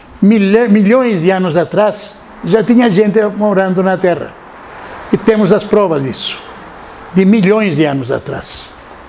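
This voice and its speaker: A man at a high pitch and a fairly slow pace, with ordinary pitch variation and long, frequent pauses, amid audible room echo and noticeable background noise. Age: 80s+. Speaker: lecturer on ancient mysteries and author. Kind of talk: lecture. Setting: seated, talk to live audience. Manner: halting, repeats words.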